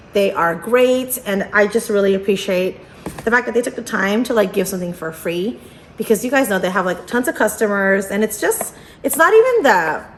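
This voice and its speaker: The delivery is fairly quick and animated, with ordinary pitch variation. Noticeable background noise sits behind the voice. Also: woman, medium pitch for a woman. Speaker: unboxing youtuber. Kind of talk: casual vlog unboxing. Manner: animated, filler-heavy.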